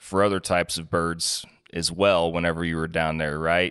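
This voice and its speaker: The background stays quiet while a man speaks at a moderate pace. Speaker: podcast host. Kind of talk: interview questions. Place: home room.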